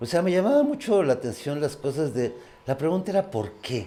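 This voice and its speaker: Very wide swings in pitch mark this man's speech. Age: 60s. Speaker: mountaineer. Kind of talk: interview.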